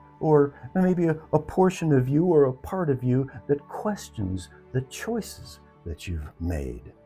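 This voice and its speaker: A man's fairly high voice with very wide pitch swings, music playing in the background. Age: 70s. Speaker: retired elder sharing life lessons. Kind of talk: reflective personal talk.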